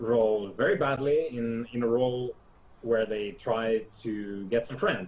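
With a Finnish accent, a man speaks very slowly at a medium pitch. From Finland. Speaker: tabletop game master. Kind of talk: casual chat. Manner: hesitant, many fillers.

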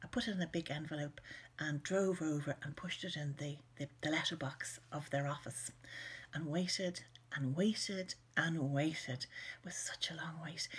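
Somewhat breathy, a woman speaks in an Irish accent with a very deep, low pitch. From Ireland. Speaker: children's author. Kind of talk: personal reminiscence to camera. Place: home room. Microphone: webcam.

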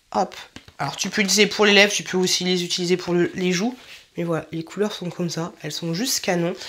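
Against noticeable background noise, a woman talks very fast at a medium pitch. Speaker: YouTuber doing clothing haul. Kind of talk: try-on haul video. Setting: home filming room. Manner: animated.

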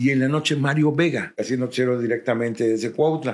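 The man's fairly high pitch carries ordinary pitch variation as he talks at a moderate pace. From Mexico, Cuernavaca, Morelos. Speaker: radio announcer and journalist. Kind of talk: casual interview.

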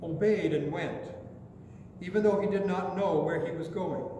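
A man's voice carries audible room echo. There is light background noise too. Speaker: pastor. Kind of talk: sermon. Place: church. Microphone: podium.

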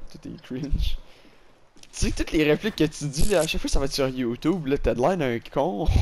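A man speaks at a fairly quick pace in a fairly high pitch, his loudness swinging a lot. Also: ordinary pitch variation. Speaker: gamer. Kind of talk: casual chat. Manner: animated.

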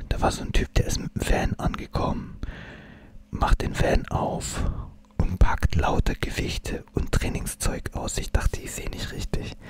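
A man whispers at a fairly slow pace. His loudness swings widely. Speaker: ASMR creator. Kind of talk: ASMR whisper talk to camera. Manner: casual, chatty, relaxed. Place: home room. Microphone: studio mic.

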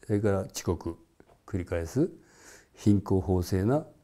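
Against a quiet background, a man speaks fairly slowly in a very deep, low pitch with a dark, mellow tone. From Japan, Shiga Prefecture; Japan. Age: 70s. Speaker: former political activist and musician; interviewee. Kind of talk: interview. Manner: halting, with many fillers. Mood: calm reflective. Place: home room. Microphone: lapel.

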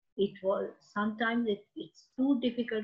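Very slowly, a woman speaks in a somewhat breathy voice. Her pitch varies in an ordinary way. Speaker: teacher giving an online poetry lesson. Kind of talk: educational lecture with poem reading. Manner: explanatory, teacherly, measured.

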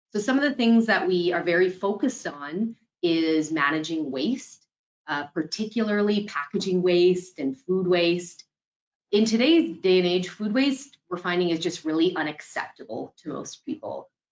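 A woman's ordinary speaking voice at medium pitch and moderate pace, with lively intonation against a quiet background. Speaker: sustainability director; panelist. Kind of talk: panel discussion. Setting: video call. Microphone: webcam.

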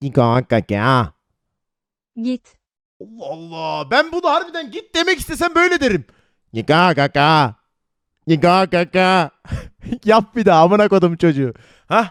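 On a very clean recording with a silent background, a man speaks at a fairly slow pace with long, frequent pauses. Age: 20s. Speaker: streamer. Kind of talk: casual chat. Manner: animated; laughing.

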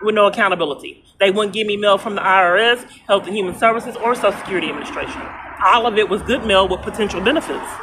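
A woman at a very fast pace, with noticeable background noise. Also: ordinary pitch variation. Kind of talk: phone conversation complaint. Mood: frustrated, aggrieved. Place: street. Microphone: phone near.

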